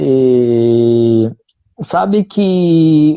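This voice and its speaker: The man's pitch is medium. It moves in very wide swings. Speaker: teacher hosting a live conversation. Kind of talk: casual chat.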